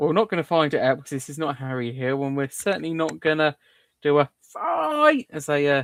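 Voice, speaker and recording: A man with a southern English accent talks at a fairly quick pace and fairly high pitch. The sound is dry and close, with no echo. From southern England. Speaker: livestream host. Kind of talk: casual chat. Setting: live stream.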